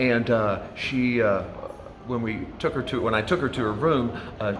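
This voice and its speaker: With an American accent, a man of medium pitch speaks at a moderate pace with ordinary pitch variation, amid audible room echo and noticeable background noise. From US Midwest, rural southern Indiana. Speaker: hotel doorman. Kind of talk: interview. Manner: hesitant, many fillers.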